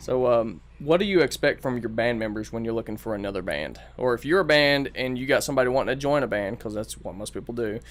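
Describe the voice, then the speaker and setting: This man talks at a very fast pace with hardly any pauses and lively intonation. His voice is medium-pitched, with a Southern accent. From US South, Bristol, Tennessee. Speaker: podcast host. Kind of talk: casual chat. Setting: studio.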